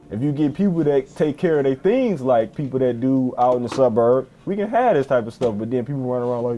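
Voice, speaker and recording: The speaker is a man with a medium pitch. There is noticeable background noise. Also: ordinary pitch variation. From Detroit, West Side. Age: 20s. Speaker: Detroit resident. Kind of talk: documentary interview. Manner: halting, repeats words.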